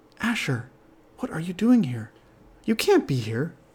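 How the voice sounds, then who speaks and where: Put on as a character voice, this middle-pitched delivery swings very widely in pitch at a moderate pace. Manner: exclaiming, alarmed.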